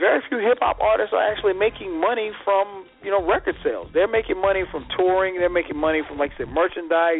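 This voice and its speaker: A man with a high voice talks at a very fast pace with hardly any pauses and ordinary pitch variation while music plays in the background. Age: 40s. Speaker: radio show host. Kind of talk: casual chat.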